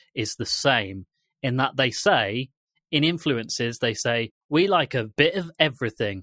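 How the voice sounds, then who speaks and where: In a very clean recording with a silent background and a dry, close sound with no echo, a man at medium pitch speaks at a fairly slow pace in a bright, sharp tone with lively intonation. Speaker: podcast co-producer guest. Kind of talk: casual chat.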